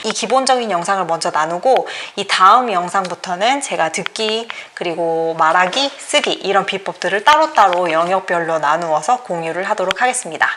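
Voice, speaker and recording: A woman's intonation rises and falls in a lively way against noticeable background noise. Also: medium pitch for a woman, moderate pace. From South Korea. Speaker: English study YouTuber. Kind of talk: casual vlog talk to camera. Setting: at home.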